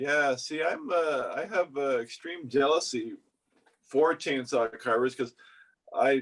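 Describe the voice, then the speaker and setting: With a slight Canadian accent, a man talks at a fairly high pitch in a dry, close sound with no echo. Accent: subtle Canadian. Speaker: woodcarver podcast co-host. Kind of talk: casual chat.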